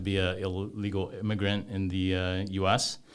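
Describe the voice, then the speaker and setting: In a room with audible echo, a man with a fairly low pitch speaks in a monotone, flat way. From Taiwan, moved to US at eight. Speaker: business executive. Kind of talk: podcast interview. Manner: hesitant, many fillers.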